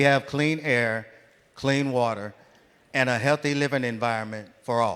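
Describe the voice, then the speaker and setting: Talking at a fairly slow pace, a man speaks with an American accent. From Ohio, Cleveland area. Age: 60s. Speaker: union field organizer. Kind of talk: audience question at town hall.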